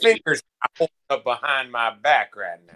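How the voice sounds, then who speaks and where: A man talks at a moderate speed in a put-on character voice. It sits fairly high in pitch. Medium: actual play. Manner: brash, goofy.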